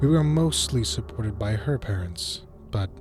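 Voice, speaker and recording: A man's voice rises and falls in a lively way while music plays behind him. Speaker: narrator. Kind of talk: horror story narration.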